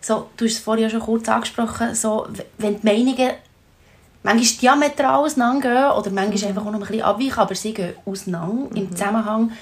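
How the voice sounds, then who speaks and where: Her words come out very quickly. This woman's voice sits fairly high. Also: ordinary pitch variation. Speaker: podcast host. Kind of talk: interview.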